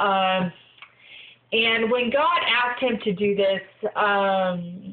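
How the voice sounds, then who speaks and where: Medium pitch from a woman, a very slow delivery, and noticeable noise behind her. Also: ordinary pitch variation. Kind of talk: inspirational video log talk. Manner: halting, many fillers.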